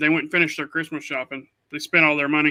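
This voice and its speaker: Very fast speech from a man with an Oklahoma accent, a fairly high pitch and a bright, sharp tone, in a dry, close sound with no echo on a very clean recording with a silent background. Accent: Oklahoma rural US South-Midland. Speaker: podcast co-host. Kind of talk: casual chat. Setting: live stream. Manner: animated.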